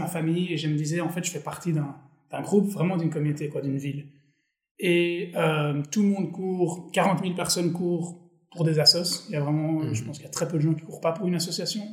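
Against audible room echo, a man speaks very fast in a high pitch with fairly even intonation. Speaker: startup co-founder. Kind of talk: casual interview.

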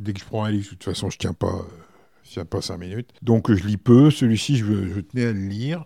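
Fairly low in pitch, a man talks in a dark, mellow tone. He moves at a fairly quick pace with ordinary pitch variation. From France, Berry (Indre). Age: 50s. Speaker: hotel director. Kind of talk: casual interview. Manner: hesitant, many fillers.

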